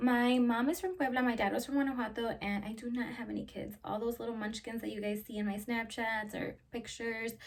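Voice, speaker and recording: Fairly high in pitch, a woman talks with a Spanish accent. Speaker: YouTuber. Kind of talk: casual Q&A vlog. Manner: animated.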